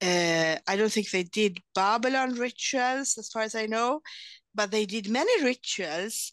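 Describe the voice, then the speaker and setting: A woman speaks with a Swedish accent at a fairly high pitch and a fairly slow pace. Her intonation is lively, and the background is quiet. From Sweden. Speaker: lawyer and translator. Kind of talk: interview. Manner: halting.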